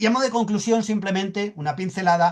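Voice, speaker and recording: A male voice is heard. The rise and fall of his pitch is ordinary. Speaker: sustainability expert speaker. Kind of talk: conference presentation. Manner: halting, repeats words.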